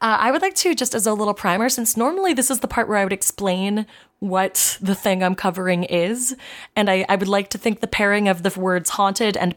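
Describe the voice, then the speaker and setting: A normal speaking voice from a woman at medium pitch, fairly quick, with ordinary pitch variation and very even loudness, on a very clean recording with a silent background. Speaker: podcast co-host. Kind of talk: casual comedy podcast chat, reading lore aloud.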